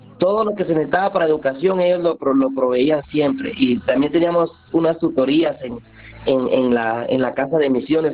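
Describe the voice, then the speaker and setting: Through noticeable background noise, a man with a fairly high pitch and lively intonation speaks at a moderate pace. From Guatemala, Santa Lucía near Antigua. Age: 40s. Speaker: community food volunteer. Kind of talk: interview.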